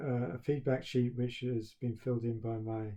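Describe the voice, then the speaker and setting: With a British accent, a man speaks at a moderate pace and medium pitch, his intonation monotone and flat, his voice somewhat breathy with a dark, mellow tone. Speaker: university professor. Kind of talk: recorded talk to students. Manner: halting, with stammered repetitions; flat, expressionless.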